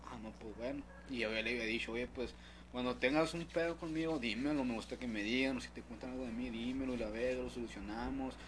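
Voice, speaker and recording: Audible room echo surrounds a man's voice. He speaks at a fairly quick pace. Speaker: podcast co-host. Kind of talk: casual chat.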